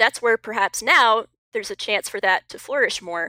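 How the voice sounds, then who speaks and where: A woman talks in a normal speaking voice at a fairly quick pace with ordinary pitch variation. The recording is very clean, with a silent background. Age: 20s. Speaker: writer and cultural commentator. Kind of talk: casual discussion.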